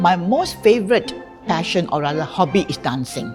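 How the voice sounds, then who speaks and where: Music playing behind a woman's voice, her delivery at a moderate pace. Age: 70s. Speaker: insurance agent. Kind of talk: testimonial interview answer.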